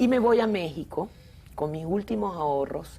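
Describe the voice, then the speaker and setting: A woman talks with lively intonation. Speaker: film director. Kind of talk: interview.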